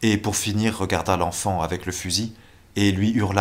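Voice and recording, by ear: A natural-voiced read-aloud with fairly even intonation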